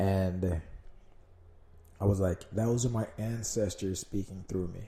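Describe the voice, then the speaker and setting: Somewhat breathy and dark, mellow in tone, a man with a fairly low pitch speaks with fairly even intonation and long, frequent pauses. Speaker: solo podcast host. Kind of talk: casual monologue. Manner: rambling, hesitant with fillers.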